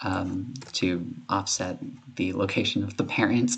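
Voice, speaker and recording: A man talks while noticeable noise is heard in the background. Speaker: game developer. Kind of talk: screen-recorded coding tutorial. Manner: casual, hesitant with fillers.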